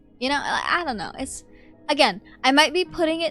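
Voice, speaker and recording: Music plays in the background. Over it, a woman speaks at a moderate pace. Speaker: streamer. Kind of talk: casual live-stream commentary.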